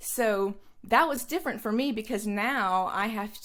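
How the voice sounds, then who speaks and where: The recording is very clean and the background silent. In it, a woman talks fairly slowly. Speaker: food photographer. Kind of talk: interview. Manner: loud.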